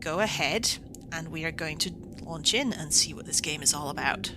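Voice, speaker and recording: Very wide pitch swings in a Scottish accent, at a moderate pace, over noticeable background noise. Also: woman. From Scotland. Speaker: gaming video creator. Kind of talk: let's play commentary. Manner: casual, hesitant with many fillers.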